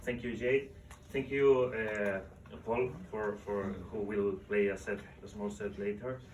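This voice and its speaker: In a Spanish accent, a man with a fairly low pitch speaks at a fairly slow pace with ordinary pitch variation, and audible room echo surrounds him. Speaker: book author. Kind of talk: book presentation talk. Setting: live event with audience. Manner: halting, repeating words.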